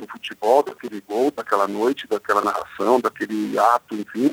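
A man speaks at a moderate pace. The sound is dry and close with no echo. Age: 50. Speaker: sports journalist. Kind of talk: radio interview.

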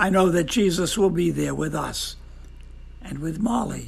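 Speaking at a moderate pace, a man uses a gentle tone, with audible room echo. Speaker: devotional speaker. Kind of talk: devotional talk.

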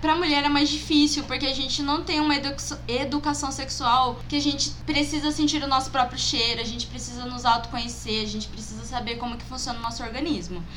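Noticeable background noise and audible room echo fill the recording. Within it, a woman speaks fairly quickly. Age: 20s. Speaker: guest, friend of the hosts. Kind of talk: casual chat.

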